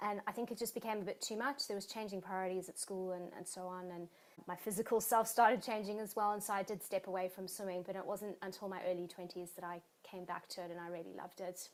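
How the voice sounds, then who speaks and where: With a South African accent, a woman speaks at a fairly quick pace and a medium pitch, her intonation fairly even. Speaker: exercise physiologist and marathon swimmer. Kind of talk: interview.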